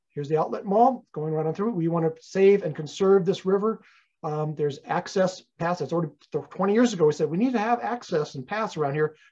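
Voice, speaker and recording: In an American accent, a man speaks fairly quickly at a high pitch with a dark, mellow tone. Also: ordinary pitch variation. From US West Coast (Los Angeles area). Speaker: retired teacher and environmental volunteer. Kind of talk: lecture. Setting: presentation to a community group. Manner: hesitant with frequent fillers.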